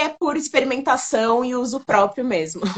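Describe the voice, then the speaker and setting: An unremarkable speaking voice from a woman, with lively intonation at a moderate pace. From São Paulo, Brazil. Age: 30s. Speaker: online makeup store founder. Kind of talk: interview on a live stream. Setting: online live stream.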